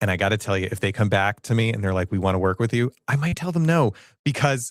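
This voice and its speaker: A man has an ordinary speaking voice, fairly low in pitch with lively intonation. The recording is very clean, with a silent background and a dry, close sound with no echo. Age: 40s. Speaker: live streamer and content creator. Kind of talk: live stream talk to audience. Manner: casual, conversational.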